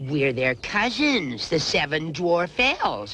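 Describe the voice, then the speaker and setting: A put-on character voice sits at a middle pitch and moves at a fairly slow pace. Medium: short film. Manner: gruff.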